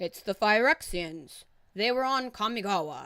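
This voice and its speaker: A booming, put-on character voice is heard. It moves at a moderate pace. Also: woman. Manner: grave, urgent.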